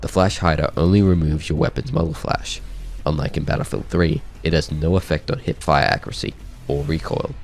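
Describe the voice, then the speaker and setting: Fairly quick speech with ordinary pitch variation runs over music in the background. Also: man, very deep, low pitch for a man. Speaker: video game guide creator. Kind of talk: game weapon guide narration.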